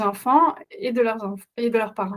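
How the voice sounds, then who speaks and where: A woman talks with a Flemish accent. Her pitch is fairly high, with ordinary variation. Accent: Dutch-speaking Flemish accent in French. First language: Dutch (speaking French). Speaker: parenting coach. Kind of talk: webinar presentation. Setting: online webinar. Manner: halting, many hesitations.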